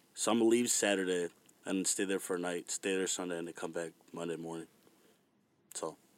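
A man with an American accent speaks with a very deep, low pitch and fairly even intonation. His pace is fairly quick, broken by long, frequent pauses. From Virginia. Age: 20s. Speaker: musician. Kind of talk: casual chat.

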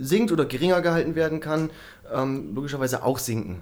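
A man speaks at a moderate pace with an unremarkable speaking voice. His pitch sits fairly high, with ordinary pitch variation. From Germany, Bremen. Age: 30s. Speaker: climate adaptation entrepreneur. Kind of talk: interview.

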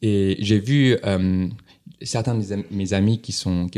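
A dark, mellow tone at a very slow pace with fairly even intonation, on a very clean recording with a silent background. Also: man. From southern China, Guangdong. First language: Chinese (Cantonese region) (speaking French). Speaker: entrepreneur. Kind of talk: interview. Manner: halting, many repetitions.

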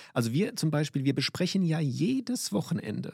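This man has a fairly high pitch and lively intonation at a moderate pace. The recording is very clean, with a silent background and a dry, close sound with no echo. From Limburg, Hesse. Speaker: basketball referee. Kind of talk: interview. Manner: animated.

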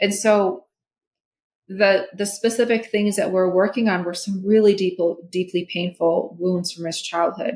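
With an American accent, this is an ordinary speaking voice delivered at a fairly slow pace with fairly even intonation. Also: woman, medium pitch for a woman. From Minnesota. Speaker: holistic therapist. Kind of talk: interview conversation.

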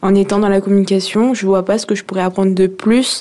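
A monotone, flat intonation carries a dark, mellow tone. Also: woman. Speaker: young job seeker in work-study. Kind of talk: radio interview.

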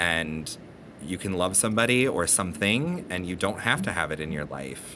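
With an American accent, a man with a very deep, low pitch and a bright, sharp tone talks at a moderate pace with lively intonation, and audible room echo surrounds him. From Detroit and Ontario, Canada. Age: 30s. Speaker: artist. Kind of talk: interview.

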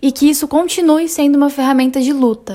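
A woman at a fairly quick pace. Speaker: journalism student interviewer. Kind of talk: student podcast interview, partly scripted.

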